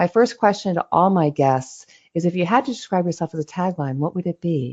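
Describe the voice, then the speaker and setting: A woman's fairly low-pitched, plain, everyday voice with lively intonation at a fairly quick pace. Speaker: podcast host. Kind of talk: podcast interview host.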